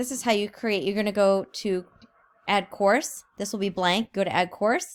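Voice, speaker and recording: Speaking at a moderate pace with medium pitch, a woman uses a plain, everyday voice in a very clean recording with a silent background. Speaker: teacher. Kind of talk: tutorial.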